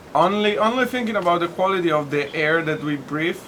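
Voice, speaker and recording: Over noticeable background noise, a man speaks with an Italian accent. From Tuscany, Italy. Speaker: bartender. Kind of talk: interview answer.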